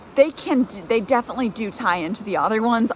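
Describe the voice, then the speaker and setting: Noticeable background noise behind a woman's lively intonation at a moderate pace. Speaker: gut health nutrition coach. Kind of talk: tutorial. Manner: casual, filler-heavy.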